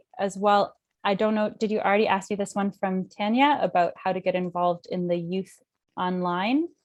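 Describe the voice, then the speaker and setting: The speaker talks at a moderate pace. The accent is Canadian. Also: woman. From Canada. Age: 20s. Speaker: young climate scientist and conference delegate. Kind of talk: talk and Q&A at an online youth event. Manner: halting, many repetitions.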